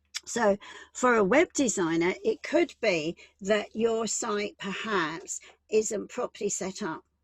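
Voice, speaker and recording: A woman with a British accent talks at a fairly high pitch, her voice making very wide pitch swings. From UK. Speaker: business and employment law advisor. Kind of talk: online workshop presentation.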